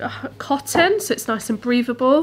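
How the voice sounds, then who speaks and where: The speech comes at a fairly slow pace. Vocal fry runs through it. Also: woman. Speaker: fabric shop owner and sewing presenter. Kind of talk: product showcase tutorial. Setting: studio. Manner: casual, chatty with filler words.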